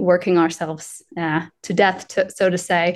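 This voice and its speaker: Against a quiet background, a woman with an American accent speaks at a fairly low pitch in monotone, flat intonation. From US South, Asheville, North Carolina. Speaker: employer branding specialist. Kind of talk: interview conversation.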